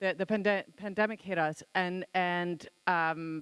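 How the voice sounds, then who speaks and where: A woman's fairly low, monotone voice with flat intonation, at a fairly slow pace, in a very clean recording with a silent background. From Sweden. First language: Swedish. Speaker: songwriter and music campaigner. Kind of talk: conference talk. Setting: conference hall with audience. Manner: halting, many fillers.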